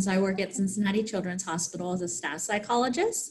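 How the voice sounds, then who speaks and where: A woman with an American accent speaks at a very fast pace and medium pitch. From Pennsylvania, US. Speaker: clinical psychologist. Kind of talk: research interview.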